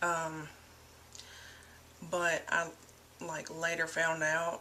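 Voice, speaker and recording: Noticeable background noise is heard behind a woman's fairly low voice. She speaks at a very slow pace. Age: 20s. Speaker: vlogger. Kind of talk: personal testimony. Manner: casual, hesitant with many fillers.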